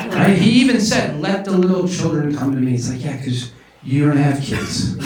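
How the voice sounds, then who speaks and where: A man with a fairly high pitch speaks at a moderate pace with lively intonation. Audible room echo and noticeable background noise fill the recording. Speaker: stand-up comedian. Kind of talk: stand-up. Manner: whispering at the end; animated.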